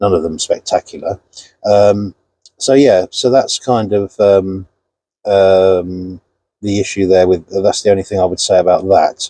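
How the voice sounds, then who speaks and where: A man with a British accent talks at a moderate pace, in a dry, close sound with no echo. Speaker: car reviewer vlogger. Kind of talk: casual vlog review. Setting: inside a parked car. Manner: loud.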